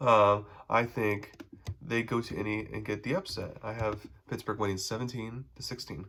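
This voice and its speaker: Vocal fry runs through a man's medium-pitched voice as he talks at a moderate pace in a very clean recording with a silent background. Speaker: sports podcaster. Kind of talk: solo podcast predictions. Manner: hesitant with fillers.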